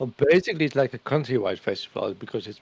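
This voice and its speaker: A man with a Dutch accent speaks at medium pitch in a dark, mellow tone. The sound is dry and close, with no echo. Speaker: streamer. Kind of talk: casual chat. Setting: livestream with webcam.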